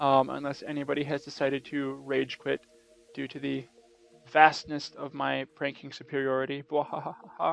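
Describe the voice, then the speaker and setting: A man's fairly high-pitched voice with music in the background. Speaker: gaming video commentator. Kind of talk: casual video commentary. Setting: home recording late at night. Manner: fast; trying to talk quietly.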